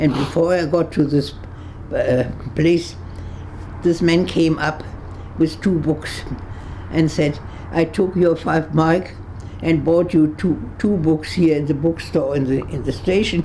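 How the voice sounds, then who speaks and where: Over noticeable background noise, a woman with a fairly low voice and a German accent speaks at a fairly slow pace with fairly even intonation and long, frequent pauses. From Germany, Berlin. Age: 80s+. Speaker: Holocaust-era refugee. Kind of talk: interview testimony. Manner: halting.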